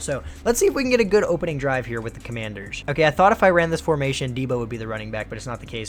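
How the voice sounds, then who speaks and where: Very fast, upbeat delivery with lively intonation over music in the background. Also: man. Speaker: gaming youtuber. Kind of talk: gameplay commentary. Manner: casual, upbeat.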